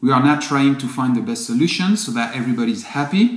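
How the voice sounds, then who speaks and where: With a non-native accent, a man talks in a fairly high pitch and lively intonation. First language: not English. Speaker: company founder. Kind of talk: video update to customers. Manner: apologetic, earnest.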